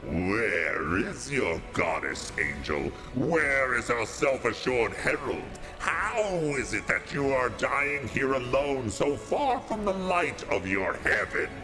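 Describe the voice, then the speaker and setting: Over loud background noise, a man puts on a shaky character voice at a medium pitch, speaking fairly slowly. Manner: taunting, shifting from quiet whisper to sonorous shout.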